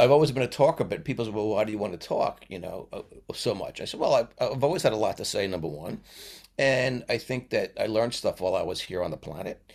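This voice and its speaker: In a New York accent, a man talks at a very fast pace, his loudness swinging widely. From New York (Brooklyn, Long Island). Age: 70s. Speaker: retired teacher. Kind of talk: casual interview chat. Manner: halting, many fillers and restarts.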